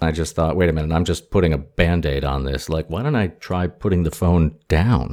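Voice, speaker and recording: In a very clean recording with a silent background, a man speaks with hardly any pauses. His very deep, low pitch has ordinary variation and a dark, mellow tone. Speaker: podcast host. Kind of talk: interview. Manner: mock-serious announcer style.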